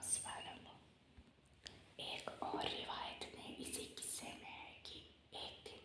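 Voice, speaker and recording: A woman whispers over noticeable background noise. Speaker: Islamic ASMR creator. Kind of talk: religious lecture reading for relaxation. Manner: whispered, soft-spoken.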